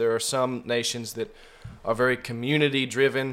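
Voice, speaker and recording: A man with an American accent, a normal speaking voice, medium pitch and a moderate pace. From California. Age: 20s. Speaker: young preacher. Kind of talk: conversational interview. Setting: studio.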